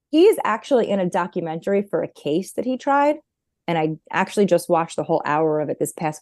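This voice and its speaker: A woman's fairly low, dark and mellow voice with a New York accent, lively intonation and a very fast pace, the sound dry and close with no echo. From New York, Long Island. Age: 40s. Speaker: therapist. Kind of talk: casual interview.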